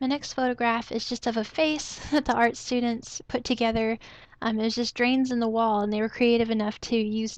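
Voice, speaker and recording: A soft-spoken woman talks at a fairly quick pace in a monotone, flat intonation. The background stays quiet. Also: fairly high pitch for a woman. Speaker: photography hobbyist / vlogger. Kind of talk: casual talk to camera.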